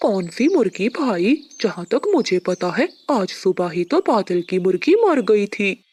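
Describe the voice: In a cartoonish character voice pitched fairly high, the speaker keeps a moderate pace over a quiet background.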